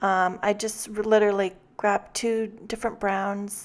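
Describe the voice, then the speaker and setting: Speaking at a fairly slow pace, a woman uses a calm tone and medium pitch with monotone, flat intonation. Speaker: card-making tutorial creator. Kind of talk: tutorial. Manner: calm and mellow; hesitant, many fillers. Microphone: new microphone, popping p sounds.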